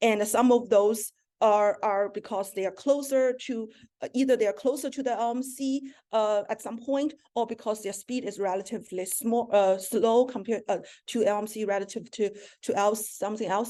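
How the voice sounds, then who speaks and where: A woman with a non-native accent has a dark, mellow tone and fairly high pitch. She keeps fairly even intonation at a moderate pace over a quiet background. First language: not English. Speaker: astronomer. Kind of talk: academic seminar talk.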